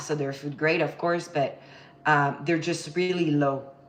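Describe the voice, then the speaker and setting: Noticeable background noise and audible room echo surround the speaker. She is a woman with fairly even intonation. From France, Paris. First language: French. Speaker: baking instructor. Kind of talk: live cooking tutorial. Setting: home kitchen livestream. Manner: casual, chatty.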